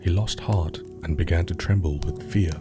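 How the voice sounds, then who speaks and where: With music in the background, a man speaks at a moderate pace in a very deep, low pitch, his tone soothing and relaxed and his intonation lively. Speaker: storyteller, sleep story narrator. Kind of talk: sleep story narration, calm storytelling. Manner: soothing, relaxed.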